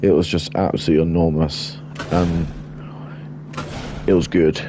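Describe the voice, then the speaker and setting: Over noticeable background noise, the voice moves at a moderate pace with lively intonation. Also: man, very deep, low pitch for a man. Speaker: game streamer. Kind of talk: live game commentary. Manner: casual, rambling.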